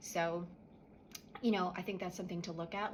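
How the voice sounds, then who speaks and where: A woman talks at a medium pitch. Noticeable background noise can be heard. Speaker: energy healer. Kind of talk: guided spiritual clearing tutorial. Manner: quiet, subdued; casual, conversational.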